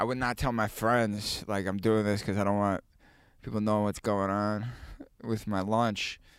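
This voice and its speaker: At a moderate pace, a man with a fairly low pitch speaks in a monotone, flat way at very even loudness, in a very clean recording with a silent background. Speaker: podcast guest. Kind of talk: casual banter interview. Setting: in a van. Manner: nervous, laughing.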